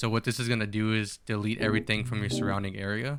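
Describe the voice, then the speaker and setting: Music plays behind a man as he talks. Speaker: graphic design tutorial youtuber. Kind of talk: tutorial. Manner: fast; casual.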